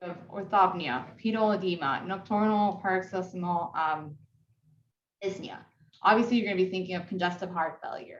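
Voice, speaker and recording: Audible room echo around a woman's medium-pitched voice, fairly even in intonation, at a moderate pace. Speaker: physician educator leading case conference. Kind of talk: interactive teaching conference. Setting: video call. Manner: soft-spoken. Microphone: echo, connection coming in and out.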